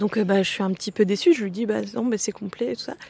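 A woman with a fairly high pitch and ordinary pitch variation, recorded with a dry, close sound and no echo. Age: 30s. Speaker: friend interviewed in a documentary. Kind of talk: personal testimony.

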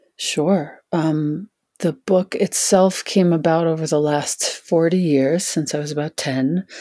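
In a very clean recording with a silent background, a woman with a very deep, low pitch and a dark, mellow tone speaks at a fairly slow pace, the sound dry and close with no echo. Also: fairly even intonation. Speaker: author and yoga teacher. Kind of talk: interview.

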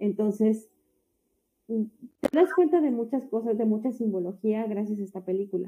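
A woman's somewhat breathy, dark, mellow voice, fairly high in pitch and at a fairly slow pace. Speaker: podcast co-host. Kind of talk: casual chat.

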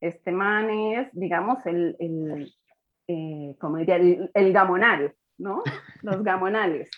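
Medium in pitch, a woman's voice moves at a very slow pace. Its pitch variation is ordinary. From Colombia. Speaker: historian. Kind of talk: casual chat.

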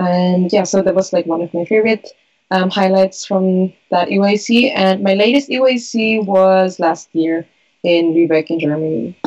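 A woman at a medium pitch and fairly slow pace, with ordinary pitch variation. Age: 20s. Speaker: youth community member. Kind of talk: casual chat. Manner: animated.

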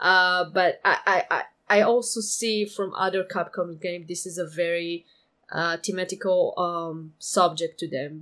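A woman with a non-native accent speaks at a fairly slow pace and a fairly low pitch, her intonation fairly even. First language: not English. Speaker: podcast co-host, former forum moderator. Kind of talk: casual chat. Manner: halting, many fillers.

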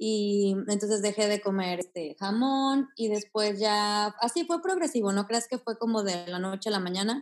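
Speaking at a fairly slow pace with hardly any pauses, a woman uses a normal speaking voice with ordinary pitch variation. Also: medium pitch for a woman. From Mexico, Aguascalientes. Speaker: yoga teacher and vegan activist. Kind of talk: interview conversation.

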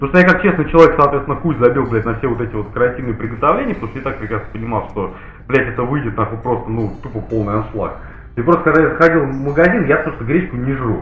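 Amid noticeable background noise and audible room echo, a man talks at a very fast pace with a medium pitch and ordinary pitch variation. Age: 30s. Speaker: podcast host. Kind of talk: casual chat. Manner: animated.

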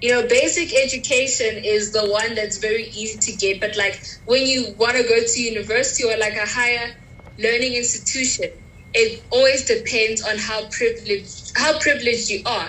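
Over noticeable background noise, a woman with a fairly high voice talks at a moderate pace with fairly even intonation. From Pretoria, South Africa. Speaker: university student, podcast host. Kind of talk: casual chat.

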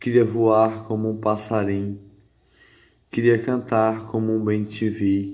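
A man talks at a very slow pace with long, frequent pauses. His intonation is flat and monotone, and audible room echo surrounds him. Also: medium pitch for a man. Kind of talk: spoken word monologue. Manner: repetitive, rhythmic.

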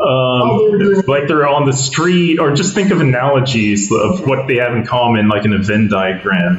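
Amid noticeable background noise and audible room echo, a man speaks at a moderate pace in a medium pitch, with very wide pitch swings and very even loudness. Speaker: comedy podcast host. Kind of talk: casual chat. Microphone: faulty cables, poor sound quality.

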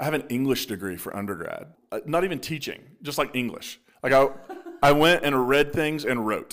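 A man in a normal speaking voice with an American accent, fairly high in pitch, fairly quick, with lively intonation. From Appalachia, Eastern Kentucky / West Virginia border. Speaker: pastor. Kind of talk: casual interview conversation.

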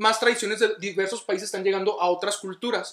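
At a fairly quick pace, a man talks in a raised, projected voice. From northern Mexico, Ciudad Juárez, Chihuahua. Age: 20s. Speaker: guest. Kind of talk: casual chat.

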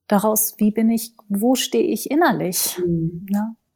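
A woman's somewhat breathy voice, fairly high in pitch, with a dark, mellow tone and a fairly slow pace. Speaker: naturopath and body therapist, yoga practitioner. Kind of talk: interview conversation. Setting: at home in her living room.

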